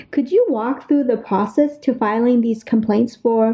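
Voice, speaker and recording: A woman with a plain, everyday voice speaks at a fairly high pitch. Her pace is moderate and her intonation fairly even. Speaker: podcast host. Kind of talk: casual interview.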